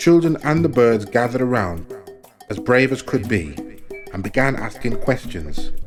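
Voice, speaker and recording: Against music in the background, a man with a medium pitch speaks at a moderate pace with lively intonation. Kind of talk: folk tale reading.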